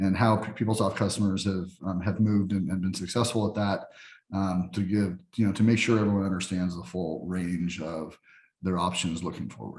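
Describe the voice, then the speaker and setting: A man with a very deep, low voice speaks at a fairly quick pace. His intonation is fairly even. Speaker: software executive. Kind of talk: interview. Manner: fast; halting, many fillers and restarts.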